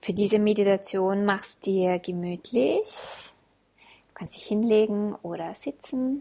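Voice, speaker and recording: A woman with a medium pitch speaks at a very slow pace in a warm, calm tone that is also dark and mellow, with ordinary pitch variation. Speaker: podcast host and self-love coach. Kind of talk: guided meditation. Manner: slow, calm, soothing, gentle pacing with pauses; warm, intimate, addressing listener as du.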